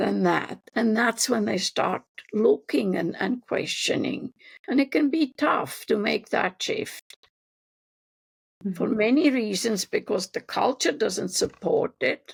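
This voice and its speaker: A woman speaks at a very slow pace. The sound is dry and close, with no echo. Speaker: developmental psychologist. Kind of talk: interview answer.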